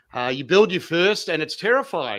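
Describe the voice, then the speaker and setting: A man with an Australian accent speaks in an energetic, enthusiastic tone. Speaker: amateur radio operator. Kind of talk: interview answer.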